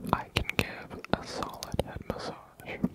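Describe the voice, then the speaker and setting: The whispering moves at a very slow pace. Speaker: asmr creator. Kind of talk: ASMR whispering. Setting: studio. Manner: whispered.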